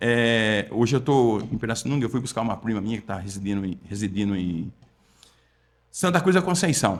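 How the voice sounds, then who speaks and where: On a very clean recording with a silent background, a man with an unremarkable speaking voice talks at a moderate pace in a medium pitch with lively intonation. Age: 60s. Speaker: meat and supermarket management consultant. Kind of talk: podcast interview. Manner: conversational, repetitive.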